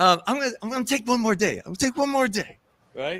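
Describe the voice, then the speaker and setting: A man's raised, projected voice, bright and sharp in tone, with a dry, close sound and no echo. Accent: American. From New York City. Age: 60s. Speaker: festival organizer. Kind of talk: interview. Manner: halting, many repeated words; casual.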